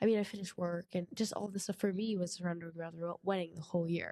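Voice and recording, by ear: Fast-paced, fairly low female voice, nasal with a dark, mellow tone and fairly even intonation, in a dry, close sound with no echo.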